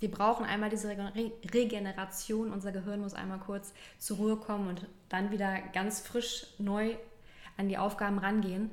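A woman's medium-pitched voice in a monotone, flat intonation, with audible room echo and noticeable background noise. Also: moderate pace. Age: 30s. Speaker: health and prevention advisor in training. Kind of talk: interview. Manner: halting.

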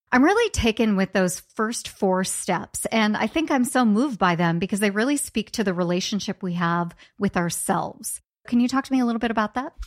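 An ordinary speaking voice with lively intonation, a fairly quick pace and very even loudness, on a very clean recording with a silent background and a dry, close sound with no echo. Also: woman, fairly high pitch for a woman. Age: 40s. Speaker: podcast host. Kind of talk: interview.

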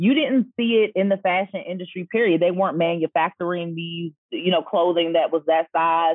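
A woman with an American accent speaks at a moderate pace with hardly any pauses, in a normal speaking voice. Her pitch is fairly low, with ordinary pitch variation. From DMV (Washington DC area). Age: 40s. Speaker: personal brand stylist and boutique owner. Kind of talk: casual interview chat.

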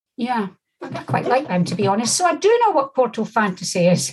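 A woman with a Scottish accent and very wide pitch swings. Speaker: podcast host. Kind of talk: interview.

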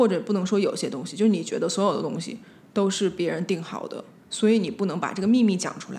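Speaking very fast, a woman has a medium-pitched, somewhat breathy voice. Her pitch varies in an ordinary way. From Beijing, China. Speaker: designer and spirit medium. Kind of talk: casual chat.

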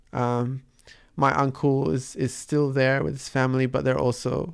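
At a moderate pace, a man speaks in a medium pitch. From Dubai-born, Palestinian parents, raised in Sydney from 11. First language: Arabic. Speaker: artist and street dancer. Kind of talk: interview. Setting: radio studio. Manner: halting, many fillers and repetitions.

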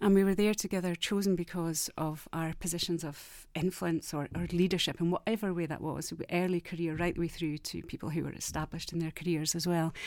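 In a Scottish accent, a woman talks at a fairly quick pace and fairly low pitch. Her intonation stays monotone and flat, on a very clean recording with a silent background. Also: hardly any pauses. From Scotland. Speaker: academic researcher. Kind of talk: casual chat.

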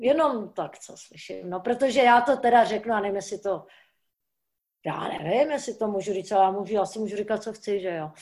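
Talking at a fairly quick pace, a woman with an unremarkable speaking voice sits at a fairly high pitch, with ordinary pitch variation and big swings in loudness. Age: 60s. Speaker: stuntwoman. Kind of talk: casual chat. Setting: video call.

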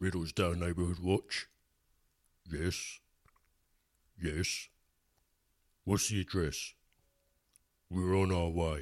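In a very clean recording with a silent background, a man with a very deep, low pitch speaks at a very slow pace in a monotone, flat intonation, leaving long, frequent pauses. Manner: brisk, gung-ho.

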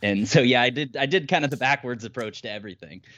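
This man has an ordinary speaking voice at a medium pitch with an American accent, moving at a fairly quick pace with lively intonation. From Ohio, US Midwest. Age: 30s. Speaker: landscape photographer. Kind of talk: casual interview.

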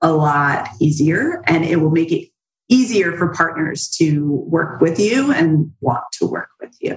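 A woman's voice, fairly low in pitch and somewhat breathy. She talks at a fairly slow pace with lively intonation. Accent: American. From southern New Jersey. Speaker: business founder, affiliate marketing expert. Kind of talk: interview.

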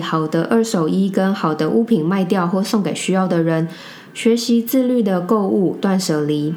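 With lively intonation and very even loudness, a woman speaks at a moderate pace and medium pitch, amid audible room echo and noticeable background noise. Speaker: podcast co-host. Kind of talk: casual chat.

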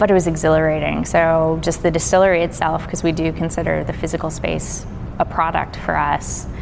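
Talking at a fairly quick pace, a woman is heard with audible room echo and noticeable background noise. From Kentucky, near Cincinnati. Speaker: distiller. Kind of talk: interview.

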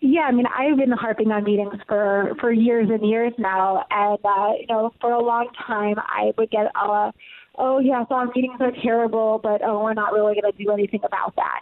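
With an American accent, a woman of fairly high pitch speaks at a moderate pace, with fairly even intonation and hardly any pauses, over noticeable background noise. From US Midwest, Ohio. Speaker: company CEO and author. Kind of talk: interview.

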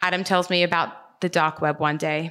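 A woman with an Australian accent speaks at a fairly low pitch, her tone bright and sharp with vocal fry. The recording is very clean, with a silent background. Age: 20s. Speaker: storyteller. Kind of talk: storytelling performance.

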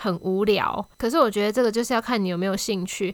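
A woman with an ordinary speaking voice talks at a fairly quick pace in a fairly high pitch with ordinary pitch variation, captured in a very clean recording with a silent background. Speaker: podcast host. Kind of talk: casual solo monologue. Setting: home recording with new microphone.

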